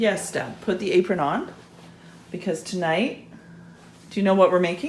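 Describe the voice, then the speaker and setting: Over noticeable background noise, a woman at a medium pitch speaks with long, frequent pauses. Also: ordinary pitch variation, moderate pace. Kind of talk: casual cooking instruction.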